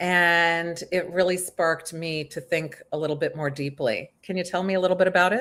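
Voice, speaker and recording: Fairly low female voice with fairly even intonation, a moderate pace and hardly any pauses, on a very clean recording with a silent background. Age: 50s. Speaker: aging writer and interviewer. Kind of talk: interview conversation. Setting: live video stream.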